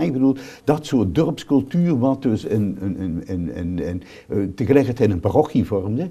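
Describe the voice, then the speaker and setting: At a moderate pace, a man with a medium pitch and a dark, mellow tone speaks with very wide pitch swings. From South Limburg, Netherlands. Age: 70s. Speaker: priest. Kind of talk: interview. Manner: halting, many repetitions and fillers.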